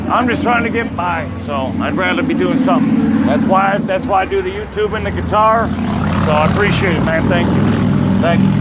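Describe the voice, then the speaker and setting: A man speaks at a moderate pace in a high pitch with ordinary pitch variation. Noticeable background noise runs underneath. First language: not English. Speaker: street busker and YouTuber. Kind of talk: casual chat.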